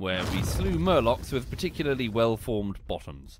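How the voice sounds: At a moderate pace, a man speaks at a medium pitch.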